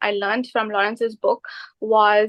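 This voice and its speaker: A woman's fairly high voice at a moderate pace. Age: 20s. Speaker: microbiologist and new property investor. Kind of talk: interview.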